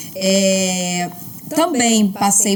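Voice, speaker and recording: A woman with fairly even intonation, against noticeable background noise. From Pernambuco, Brazil, raised in Rio de Janeiro. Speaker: journalist. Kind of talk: interview, life story.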